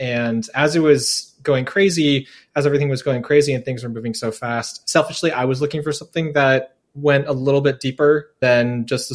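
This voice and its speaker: At a moderate pace, a man speaks in a medium pitch. His pitch variation is ordinary. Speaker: newsletter journalist covering AI. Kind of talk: casual interview chat. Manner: casual, hesitant with many fillers.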